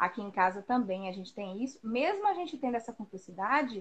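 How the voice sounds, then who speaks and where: A moderate pace carries this speech along. Its intonation is lively and its tone somewhat breathy. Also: woman. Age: 30s. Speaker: teacher and mother. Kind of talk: casual chat. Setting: Instagram live stream.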